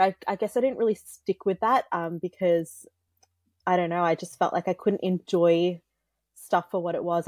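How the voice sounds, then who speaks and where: A woman with an unremarkable speaking voice talks at a fairly quick pace, her fairly low pitch moving in fairly even intonation. The recording is very clean, with a silent background and a dry, close sound with no echo. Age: 20s. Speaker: musician and YouTube creator. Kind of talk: casual interview chat.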